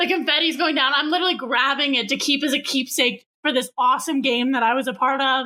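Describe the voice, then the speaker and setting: Bright and sharp in tone, a woman's raised, projected voice sits at a high pitch. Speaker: host's roommate. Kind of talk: casual anecdote.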